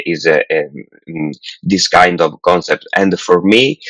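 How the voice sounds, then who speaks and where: A man speaks at a fairly slow pace with an Italian accent. The sound is dry and close, with no echo. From Italy. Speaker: film director. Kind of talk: interview. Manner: halting, many fillers.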